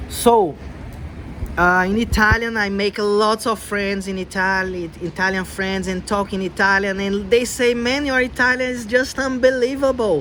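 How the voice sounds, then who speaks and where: Noticeable background noise accompanies a man with a Brazilian accent. His pitch is high, with ordinary variation. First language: Portuguese. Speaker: language learner vlogger. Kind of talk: casual vlog talk. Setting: outdoors in the cold.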